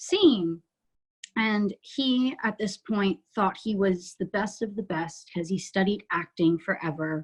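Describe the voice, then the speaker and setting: A woman speaks at a medium pitch, somewhat breathy. Her pace is fairly slow and her intonation lively. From New Jersey. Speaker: musical theatre actress. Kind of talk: interview podcast.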